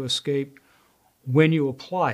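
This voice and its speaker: A man talks with fairly level intonation, and the background is quiet. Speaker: presenter. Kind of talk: tutorial. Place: studio.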